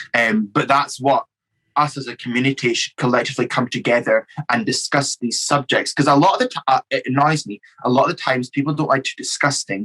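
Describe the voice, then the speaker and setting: A man in a Scottish accent at a fairly quick pace, with ordinary pitch variation and a dry, close sound with no echo. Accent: Scottish, others say strong. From Scotland. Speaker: drag queen. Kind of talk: casual chat.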